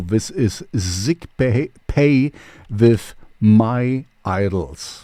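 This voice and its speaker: Here a man speaks with a German accent. His voice is medium in pitch with a dark, mellow tone. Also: very clean recording, silent background. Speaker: radio host and DJ. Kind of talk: casual radio show presenting. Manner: halting with many fillers.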